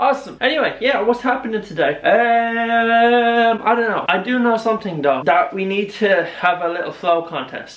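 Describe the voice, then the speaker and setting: A man's high voice swings very widely in pitch amid noticeable background noise. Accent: Irish. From Ireland. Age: 20s. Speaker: vlogger. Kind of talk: casual talk to camera.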